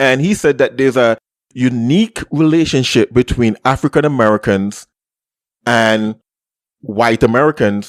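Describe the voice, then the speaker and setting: A man in a Caribbean accent at medium pitch and a moderate pace, with ordinary pitch variation, in a dry, close sound with no echo and a very clean recording with a silent background. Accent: uniquely Caribbean. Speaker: podcast host. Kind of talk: casual chat.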